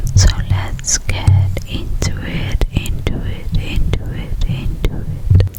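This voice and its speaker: Whispering at a very slow pace with hardly any pauses, amid noticeable background noise. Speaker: ASMR artist. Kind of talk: sleep story. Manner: whispered.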